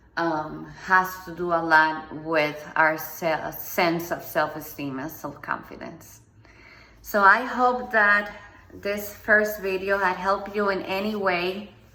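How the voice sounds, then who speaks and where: Speaking in a Spanish accent, a woman talks at a very slow pace and medium pitch. Room echo is audible. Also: ordinary pitch variation. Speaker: motivational speaker. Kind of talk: personal testimony monologue. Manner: halting, with many ums.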